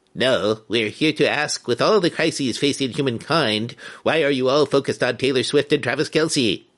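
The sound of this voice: In a quiet background, a man uses a put-on character voice at a medium pitch, keeping a moderate pace with hardly any pauses.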